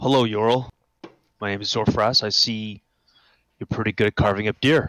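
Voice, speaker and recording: Using a put-on character voice, a man speaks at a moderate pace, raspy and medium-pitched, with fairly even intonation. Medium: actual play. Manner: casual, friendly.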